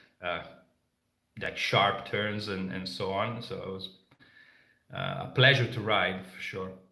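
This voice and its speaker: Speaking with a non-native accent, a man with a fairly low pitch and a bright, sharp tone moves at a fairly slow pace, taking long, frequent pauses, his loudness swinging widely and his pitch varying in an ordinary way, amid audible room echo. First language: not English. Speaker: motorcycle travel vlogger. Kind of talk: live stream Q&A. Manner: halting, many fillers.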